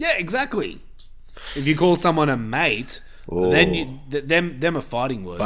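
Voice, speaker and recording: The voice has an Australian accent and very wide pitch swings. The pace is fairly slow. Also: man, fairly high pitch for a man. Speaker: podcast host. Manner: casual, sweary.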